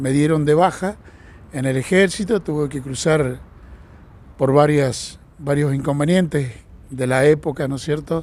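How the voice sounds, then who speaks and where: Here a man speaks at a very slow pace. His pitch is fairly high, with ordinary pitch variation. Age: 60s. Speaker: retired train driver. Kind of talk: interview. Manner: halting, repeats words.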